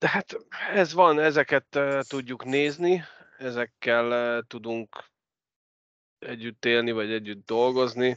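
Speaking at a very slow pace with long, frequent pauses, a man uses ordinary pitch variation in a dry, close recording with no echo. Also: medium pitch for a man. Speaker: ice hockey podcast host. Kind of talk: casual sports chat.

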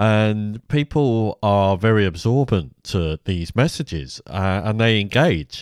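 Speaking at a very slow pace yet with hardly any pauses, a man with an English accent and fairly low pitch uses lively intonation and very even loudness, in a dry, close sound with no echo. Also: very clean recording, silent background. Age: 50s. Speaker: podcast host. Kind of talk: monologue commentary.

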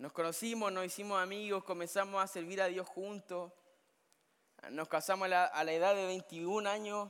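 A man's high-pitched voice at a moderate pace, flat and monotone. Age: 30s. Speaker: camp preacher. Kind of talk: sermon. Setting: summer camp gathering with audience.

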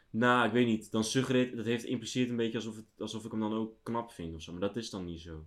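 A man's medium-pitched voice at a very fast pace, with hardly any pauses, ordinary pitch variation, and big swings in loudness. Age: 20s. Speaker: podcast co-host. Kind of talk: casual chat. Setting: empty room at home.

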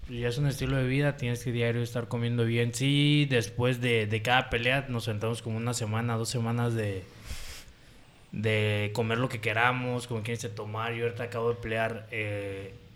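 Audible room echo follows a man who talks at a moderate pace and a medium pitch with monotone, flat intonation. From Puerto Vallarta, Jalisco, Mexico. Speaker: professional MMA fighter. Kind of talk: casual chat.

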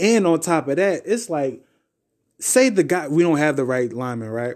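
A man speaks in an animated tone. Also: very clean recording, silent background. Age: 30s. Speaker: sports podcaster. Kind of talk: casual solo sports commentary.

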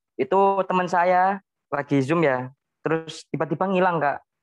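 A man with a plain, everyday voice talks at a moderate pace with fairly even intonation, in a dry, close sound with no echo. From Central Java, Semarang Regency. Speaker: university student. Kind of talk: casual interview.

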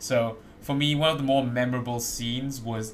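What you hear is plain reading aloud.

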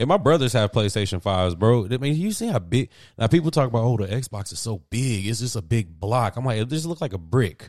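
The recording is very clean, with a silent background. A man speaks at a fairly quick pace and medium pitch, his tone animated and his intonation lively. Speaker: sports podcast host. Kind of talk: casual banter. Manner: animated, bantering.

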